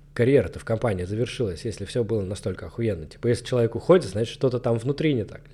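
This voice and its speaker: In a very clean recording with a silent background, a man speaks at a medium pitch, somewhat breathy and dark, mellow in tone, with ordinary pitch variation. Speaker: marketing manager and blogger. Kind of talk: solo monologue podcast. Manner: casual, slangy.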